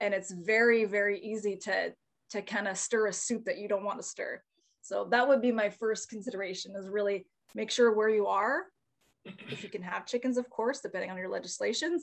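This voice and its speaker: A woman with a Canadian accent has a normal speaking voice, a fairly high pitch and ordinary pitch variation, and she talks at a moderate pace. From Northern Ontario, Canada (Timmins area). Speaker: chicken farmer and online educator. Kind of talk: casual interview.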